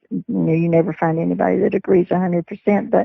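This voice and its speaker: A woman with a Texan accent at a fairly quick pace. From Texas. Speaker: retired sheriff's dispatcher. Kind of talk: interview.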